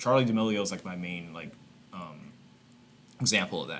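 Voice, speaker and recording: With music in the background, a man talks at a fairly quick pace and a fairly low pitch. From Texas, Houston. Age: 20s. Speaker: YouTuber. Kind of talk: casual reaction commentary. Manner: animated.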